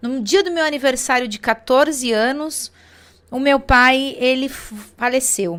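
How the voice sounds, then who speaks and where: A woman's high voice at a fairly slow pace, with ordinary pitch variation and a São Paulo accent. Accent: Brazilian Portuguese, São Paulo (paulistano). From Brazil, São Paulo city. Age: 40s. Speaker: network marketing distributor. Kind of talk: testimony. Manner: hesitant fillers.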